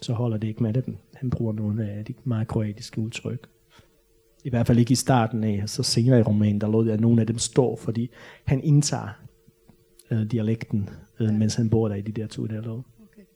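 A man speaks at a moderate pace in a medium pitch, somewhat breathy and dark, mellow in tone. His intonation is monotone and flat, with big swings in loudness. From Bosnia. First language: Bosnian/Croatian (speaking Danish). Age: 30s. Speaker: novelist. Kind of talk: author talk with Q&A. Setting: library stage with audience. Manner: halting, many fillers.

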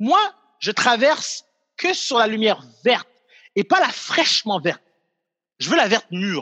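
Recorded dry and close with no echo, a man with a high pitch speaks at a fairly slow pace, making very wide pitch swings and long, frequent pauses. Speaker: comedian and video creator. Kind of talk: casual chat.

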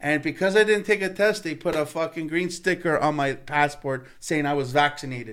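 At a fairly high pitch, a man speaks at a moderate pace with ordinary pitch variation. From Canada, Italian-Canadian family. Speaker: singer-songwriter. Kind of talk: casual chat. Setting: studio.

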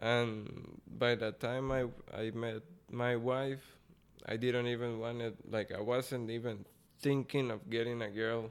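Speaking fairly slowly with a Costa Rican accent, a man holds a medium pitch in a monotone, flat intonation. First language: Spanish. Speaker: boxer. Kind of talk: casual interview chat.

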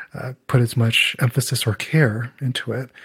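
A man speaks somewhat breathily at a medium pitch, with fairly even intonation at a moderate pace. The recording is very clean, with a silent background. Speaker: audiologist and podcast co-host. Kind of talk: casual chat.

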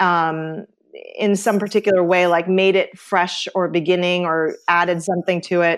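A woman's medium-pitched voice with a Midwestern US accent at a fairly slow pace, on a very clean recording over a silent background. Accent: US Midwest. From Ohio. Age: 50s. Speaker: artist and educator. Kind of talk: casual interview chat.

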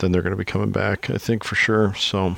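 A man's very deep, low voice with a Midwestern US accent and ordinary pitch variation. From Iowa. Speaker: podcast host. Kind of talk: casual podcast interview.

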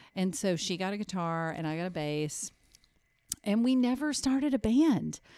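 With a dark, mellow tone, a woman at medium pitch speaks at a moderate pace. Her pitch swings very widely on a very clean recording with a silent background. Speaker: musician. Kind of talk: casual chat.

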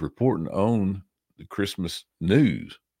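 In a Tennessee accent, a man with a very deep, low pitch talks with lively intonation on a very clean recording with a silent background. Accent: Southern US (Tennessee). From US South, Tennessee. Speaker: podcaster. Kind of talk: casual chat.

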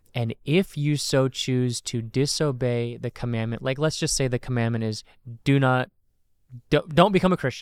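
Recorded dry and close with no echo, a man speaks at a moderate pace and medium pitch in a normal speaking voice with ordinary pitch variation. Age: 30s. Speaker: podcast host, pastor. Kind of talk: casual theology discussion.

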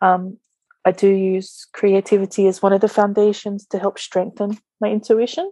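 With an Australian accent, the speaker has a dark, mellow tone in a dry, close recording with no echo. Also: woman. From Australia, Sydney. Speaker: energy healer and spa owner. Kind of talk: casual interview chat. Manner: hesitant, many fillers.

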